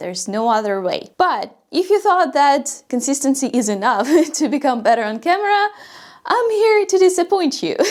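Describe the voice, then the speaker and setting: A woman with a non-native accent speaks at a moderate pace, high in pitch with very wide pitch swings. The recording is very clean, with a silent background. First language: not English. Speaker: YouTube coach. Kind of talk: tutorial.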